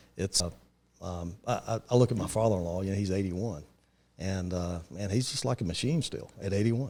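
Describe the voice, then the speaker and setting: A man with an eastern North Carolina accent talks at a fairly quick pace. His fairly low voice has a dark, mellow tone and ordinary pitch variation. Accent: eastern North Carolina Southern. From eastern North Carolina (Kinston). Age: 50s. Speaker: real estate investor. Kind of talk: casual podcast chat. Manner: hesitant, many fillers.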